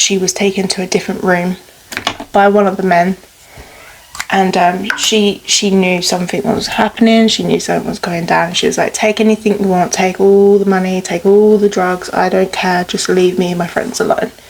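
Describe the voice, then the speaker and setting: Noticeable background noise sits under a woman's medium-pitched voice. She speaks at a moderate pace with monotone, flat intonation. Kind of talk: casual true crime storytelling while doing makeup.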